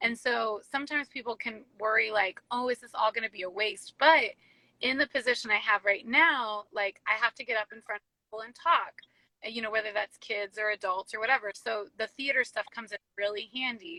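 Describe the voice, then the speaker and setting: A woman's fairly high, bright, sharp voice with an American accent, at a fairly quick pace, with big swings in loudness and a dry, close sound without echo. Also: ordinary pitch variation. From rural town called Quincy, US. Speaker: youth ministry director. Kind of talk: casual interview.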